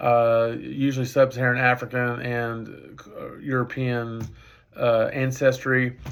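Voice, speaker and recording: A man with a Texas accent, medium pitch and monotone, flat intonation. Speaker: professor. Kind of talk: lecture. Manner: halting.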